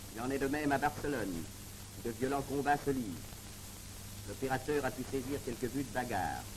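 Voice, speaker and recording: A man speaks at a fairly quick pace in a solemn tone, with ordinary pitch variation, long, frequent pauses and noticeable background noise. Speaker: documentary narrator. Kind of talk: 1930s newsreel narration. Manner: formal, solemn, declamatory; brisk, even and authoritative. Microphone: old recording.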